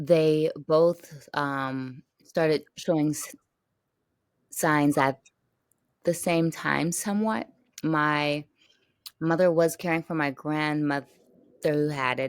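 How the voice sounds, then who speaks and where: The very clean recording has a silent background. A woman with a very deep, low pitch speaks at a very slow pace, leaving long, frequent pauses. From California. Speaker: caregiver advocate. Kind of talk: podcast interview. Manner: slow at times, drawn-out vowels.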